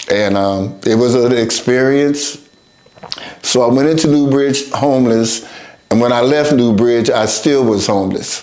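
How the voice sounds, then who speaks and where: A man with an American accent at medium pitch and a fairly slow pace, with ordinary pitch variation and very even loudness, amid noticeable background noise and audible room echo. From US West Coast, Oakland, California. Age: 70s. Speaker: recovering addict sharing life story. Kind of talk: testimony. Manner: halting.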